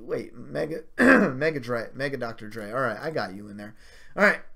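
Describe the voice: A hoarse, raspy, put-on character voice from a medium-pitched man at a moderate pace, with big swings in loudness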